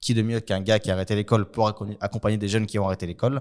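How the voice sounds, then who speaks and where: A man talks very fast in a fairly low voice, the recording very clean with a silent background. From Brussels, Belgium (Saint-Gilles). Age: 20s. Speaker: youth worker and political candidate. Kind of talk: interview.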